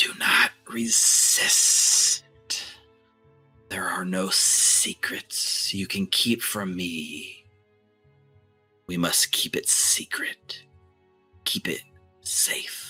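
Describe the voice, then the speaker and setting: A man uses a put-on character voice, creaky and menacing in tone. He speaks at a very slow pace over faint background music. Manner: menacing, commanding.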